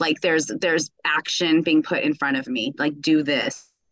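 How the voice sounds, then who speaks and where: The woman, in an American accent, moves through very wide pitch swings at a moderate pace, her sound dry and close with no echo. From United States. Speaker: astrology reading client, activist. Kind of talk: casual chat. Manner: halting.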